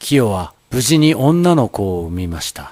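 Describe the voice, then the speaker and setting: Very wide pitch swings mark this man's medium-pitched voice as he speaks at a fairly slow pace. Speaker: narrator, stage actor. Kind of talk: dramatized ghost story narration.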